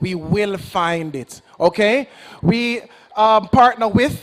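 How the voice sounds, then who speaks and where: A man speaks with a Jamaican accent in a high pitch and an animated tone. His pitch varies in an ordinary way. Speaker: agency representative. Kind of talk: public presentation to young audience.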